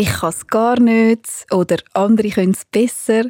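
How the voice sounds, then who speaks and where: A woman with a Swiss accent and a dark, mellow tone speaks at a medium pitch with fairly even intonation, the sound dry and close with no echo on a very clean recording with a silent background. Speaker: radio journalist. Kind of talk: radio feature narration.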